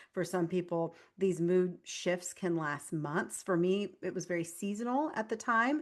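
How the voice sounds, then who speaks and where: A woman speaks with hardly any pauses against a quiet background. Her medium pitch moves with ordinary variation, and her tone is animated. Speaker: functional nutritionist and author. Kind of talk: interview. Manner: fast.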